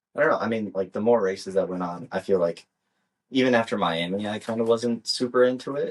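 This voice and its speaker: In a Midwestern US accent, a man speaks at a fairly low pitch and a fairly quick pace. His pitch variation is ordinary. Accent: US Midwest. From US Midwest. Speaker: podcast co-host. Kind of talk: casual chat.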